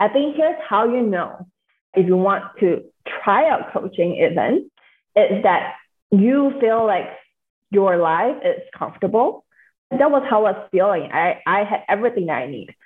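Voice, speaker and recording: Her pitch fairly high and swinging very widely, a woman speaks at a moderate pace with long, frequent pauses. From Singapore. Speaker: mindset and money coach. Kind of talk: interview conversation.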